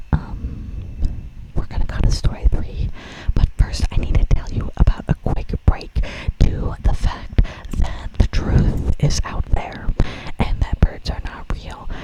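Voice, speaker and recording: Someone whispers at a fairly slow pace with long, frequent pauses, amid noticeable background noise. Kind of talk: whispered ASMR storytelling and reading Reddit posts with casual commentary. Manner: whispered, casual, chatty, joking.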